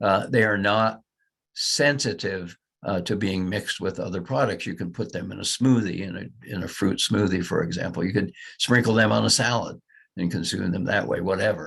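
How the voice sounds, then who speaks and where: A man speaks at a fairly quick pace in a fairly low voice with vocal fry, over a quiet background. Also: lively intonation. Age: 70s. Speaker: physician giving a product presentation. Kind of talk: lecture. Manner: halting, many fillers.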